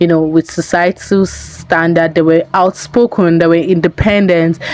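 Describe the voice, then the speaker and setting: Against noticeable background noise, a woman with a fairly low pitch speaks with fairly even intonation. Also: moderate pace. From Nigeria. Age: 20s. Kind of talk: video essay commentary to camera.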